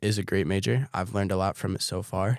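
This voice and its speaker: An unremarkable speaking voice, a man talks with an American accent at a fairly low pitch with ordinary pitch variation. The sound is dry and close with no echo, on a very clean recording with a silent background. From US Northeast, Connecticut (Torrington). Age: 20s. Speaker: podcast host, student fitness content creator. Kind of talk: casual solo podcast monologue. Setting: podcast studio.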